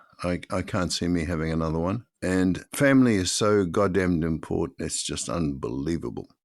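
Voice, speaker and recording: A man with a New Zealand accent speaks at a moderate pace in a very deep, low voice, using lively intonation and hardly any pauses. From New Zealand, Auckland. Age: 80s+. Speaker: podcast co-host. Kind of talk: casual chat. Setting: video call.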